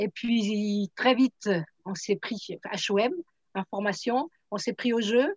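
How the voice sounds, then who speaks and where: A woman speaks at a very slow pace with long, frequent pauses, in a fairly high, somewhat breathy voice. Her pitch varies in an ordinary way, and the sound is dry and close with no echo. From France, Troyes. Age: 70s. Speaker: product distributor. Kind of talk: testimony.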